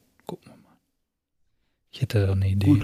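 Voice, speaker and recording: The voice has a dark, mellow tone and is somewhat breathy, with a dry, close sound with no echo, in a very clean recording with a silent background. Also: man. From Ruhr area, Germany. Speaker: podcast co-host. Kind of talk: casual chat. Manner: animated.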